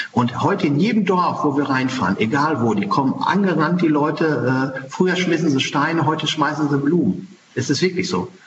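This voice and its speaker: The speaker uses lively intonation at a moderate pace. Audible room echo and noticeable background noise fill the recording. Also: man. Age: 40s. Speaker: farrier and animal welfare charity leader. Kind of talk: interview. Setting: video call.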